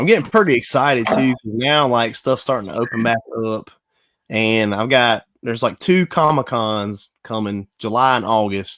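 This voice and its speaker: A man with a Southern US accent, medium pitch and ordinary pitch variation at a moderate pace, on a very clean recording with a silent background. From South Carolina. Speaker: collector, panel guest. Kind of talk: casual chat.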